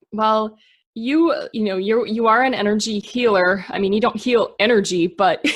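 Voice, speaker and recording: Speaking with a Minnesota accent, a woman keeps a moderate pace. Her pitch is medium. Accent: Minnesotan American. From Minnesota, US. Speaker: podcast host. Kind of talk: interview.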